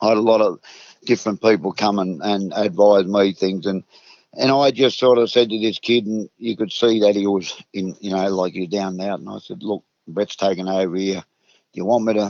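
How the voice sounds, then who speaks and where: This man talks at a fairly quick pace in a fairly low pitch. His intonation stays fairly even. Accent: rural Australian. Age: 60s. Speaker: retired racehorse trainer. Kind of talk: interview. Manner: halting.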